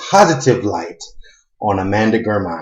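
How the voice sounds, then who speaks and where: A man is speaking. His voice comes across as somewhat breathy. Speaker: YouTube commentator. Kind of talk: casual vlog talk; reading and commenting on an article. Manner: halting, many fillers.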